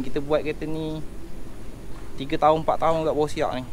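Over light background noise, a man talks very fast in a flat, monotone way. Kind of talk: casual conversation. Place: street. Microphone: camera far.

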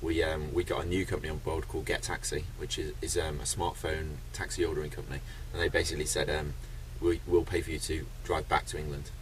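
Very fast speech from a man over light background noise. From UK. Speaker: record-breaking traveller. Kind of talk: interview. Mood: friendly, upbeat. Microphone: phone near.

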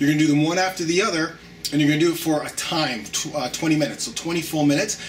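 Faint music in the background accompanies this man as he talks. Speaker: fitness trainer. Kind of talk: tutorial. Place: home room.

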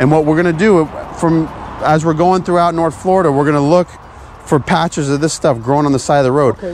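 At a fairly quick pace, the voice sounds dry with no echo while music plays in the background. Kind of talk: casual vlog chat. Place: open country. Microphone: phone near.

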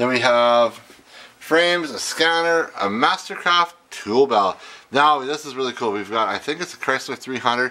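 A man's bright, sharp voice at medium pitch, fairly slow in pace, with ordinary pitch variation.

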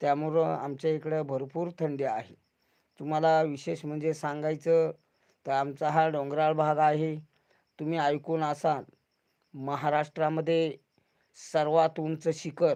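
Over a quiet background, a man with a fairly high pitch talks in a flat monotone, his tone dark and mellow. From rural Pune district, Maharashtra (Junnar area). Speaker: YouTuber, farming video creator. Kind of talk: late-night YouTube livestream chat. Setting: livestream at home at night.

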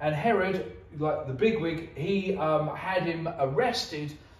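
A man at a fairly slow pace with ordinary pitch variation, in audible room echo. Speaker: preacher. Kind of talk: sermon. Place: church. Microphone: camera far.

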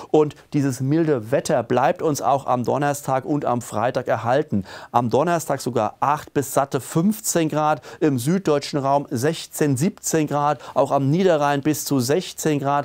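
Over a quiet background, a man with a fairly high pitch speaks at a very slow pace with hardly any pauses, ordinary pitch variation and very even loudness. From Germany. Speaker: weather presenter. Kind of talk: weather report with a forecast walk-through of maps and charts. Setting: studio video presentation with weather maps. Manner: businesslike and matter-of-fact, calmly reading out temperatures and regional details; emphatic and opinionated, pushing the mild-winter message with a friendly, direct address. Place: studio. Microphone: lapel.

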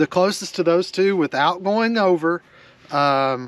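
A man speaks slowly in a high voice with ordinary pitch variation.

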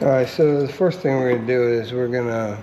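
Light background noise sits behind a man whose intonation stays fairly even. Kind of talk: tutorial. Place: workshop. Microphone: phone near.

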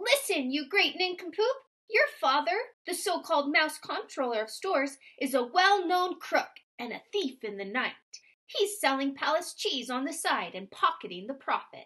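Using a squeaky, put-on character voice at an extremely high pitch, a woman speaks at a moderate pace. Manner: defiant, scolding.

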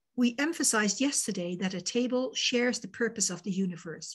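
A woman speaks at a moderate pace in a fairly high pitch, her voice swinging very widely up and down against a quiet background. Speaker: volunteer discussion facilitator. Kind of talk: facilitated group discussion. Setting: video call. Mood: calm, measured. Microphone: video call.

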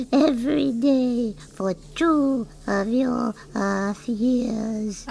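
In a high, female-sounding put-on character voice, the speaker talks at a very slow pace over clear background noise. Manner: meek, polite, gentle.

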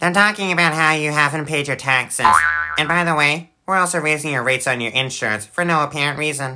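Very fast, middle-pitched speech over sound effects in the background. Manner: officious, deadpan.

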